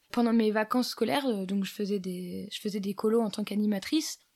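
A woman speaks in a plain, everyday voice at a fairly high pitch and a moderate pace. Her pitch varies in an ordinary way on a very clean recording with a silent background. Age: 20s. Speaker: electronics engineer and highline instructor. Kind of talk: casual interview. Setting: at the guest's home.

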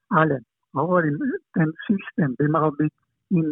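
A man's high voice at a fairly slow pace. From eastern Slovakia, Prešov. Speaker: shooting coach. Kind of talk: interview. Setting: phone call.

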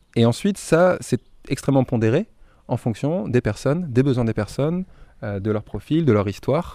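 In a very clean recording with a silent background, a man speaks at medium pitch and a moderate pace with lively intonation. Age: 20s. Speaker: eco-campus volunteer coordinator. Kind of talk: interview. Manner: halting, many hesitations.

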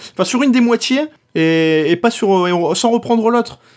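With a northern French accent, a man talks at a moderate pace and high pitch, making very wide pitch swings, on a very clean recording with a silent background. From northern France. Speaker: podcast host. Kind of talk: casual chat.

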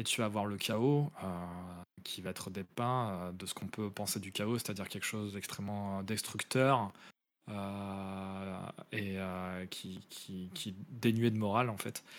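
A man with a fairly low voice speaks very slowly and with fairly even intonation on a very clean recording with a silent background. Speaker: video game podcast co-host. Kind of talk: casual chat.

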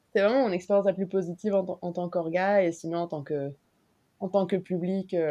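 Fairly quick and at medium pitch, a woman speaks with fairly even intonation. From Mexico. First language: Spanish (speaking French). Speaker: concert organizer and illustrator. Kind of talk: casual chat.

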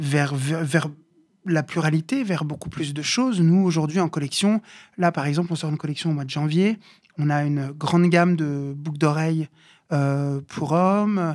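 A man's fairly high voice with ordinary pitch variation, on a very clean recording against a silent background. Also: moderate pace. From Paris suburbs (Bobigny). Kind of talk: interview. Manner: halting, many fillers and repetitions.

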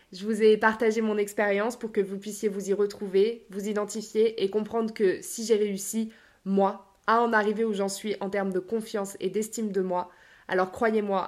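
On a very clean recording with a silent background, the speaker delivers the lines at a moderate pace in a monotone, flat intonation. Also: woman. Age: 20s. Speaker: life coach and podcaster. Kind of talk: solo podcast monologue.

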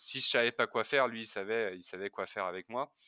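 The tone is bright and sharp. A man talks at a moderate pace. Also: dry, close sound with no echo. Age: 20s. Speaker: physiotherapist. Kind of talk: testimony. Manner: hesitant.

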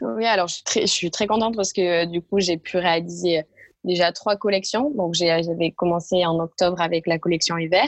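A woman with a fairly low voice and normal pitch movement talks at an even, moderate rate. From southern France, Tarn (near Castres). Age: 20s. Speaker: entrepreneur, sock brand founder. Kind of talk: interview. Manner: halting, many hesitations.

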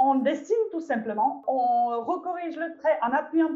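A woman speaks with a Czech accent. Her pitch varies in an ordinary way. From Czech Republic. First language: Czech (speaking French). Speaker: visual artist and children's workshop leader. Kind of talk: interview. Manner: halting, frequent repetitions.

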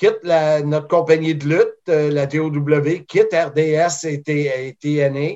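A man's fairly high voice at a very slow pace, in a flat monotone. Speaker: wrestling commentator. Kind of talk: interview.

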